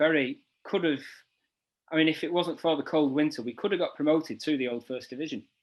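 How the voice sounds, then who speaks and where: With a quiet background, a man talks at a very fast pace in a fairly high voice with ordinary pitch variation. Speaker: interviewer. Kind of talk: interview questions.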